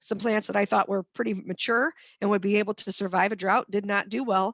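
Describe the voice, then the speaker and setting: A woman with a Midwestern American accent and a medium pitch, her sound dry and close with no echo, over a quiet background. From northwest Ohio. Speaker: master gardener volunteer coordinator. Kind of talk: lecture. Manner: fast.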